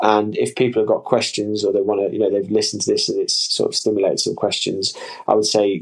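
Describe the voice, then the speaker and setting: A man with an East Midlands accent. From English Midlands, Leicestershire. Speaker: sports scientist and hydration company founder. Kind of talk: interview conversation.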